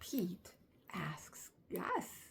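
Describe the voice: A woman speaks at a very slow pace with a fairly low pitch and very wide pitch swings. Her voice has vocal fry, a husky, rough edge, and a fairly bright tone.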